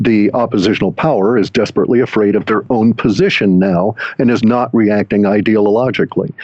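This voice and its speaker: A man with a plain, everyday voice speaks at a fairly quick pace with a fairly low pitch, fairly even intonation, very even loudness and hardly any pauses. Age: 60s. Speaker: data mining forecaster. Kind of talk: interview.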